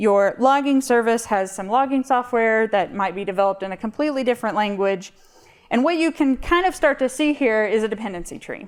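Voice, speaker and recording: A woman speaks very fast in a high voice on a very clean recording with a silent background. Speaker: conference speaker, mathematician. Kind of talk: conference talk. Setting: stage with audience.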